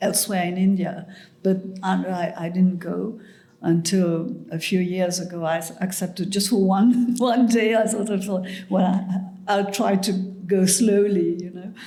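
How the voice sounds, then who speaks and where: A woman's somewhat breathy, dark, mellow voice, fairly slow and monotone, flat in intonation, with audible room echo. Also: medium pitch for a woman. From Mauritius. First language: French and Mauritian Creole. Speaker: writer. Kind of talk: interview conversation. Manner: halting.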